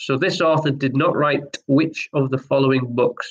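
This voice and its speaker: The man's speech moves at a fairly quick pace. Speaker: online pub quiz host. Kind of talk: live online quiz hosting. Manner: monotone. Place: home room. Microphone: webcam.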